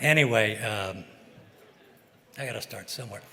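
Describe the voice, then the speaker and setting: Over audible room echo, a man with an American accent talks at a fairly quick pace in a medium pitch. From US Midwest, St. Louis. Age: 80s+. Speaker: fishing boat captain, hall of fame inductee. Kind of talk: acceptance speech. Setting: stage with audience. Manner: halting, unscripted.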